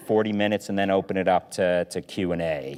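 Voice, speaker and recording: On a very clean recording with a silent background, a man with a very deep, low pitch keeps his intonation fairly even. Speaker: forum moderator. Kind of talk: interview. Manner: loud.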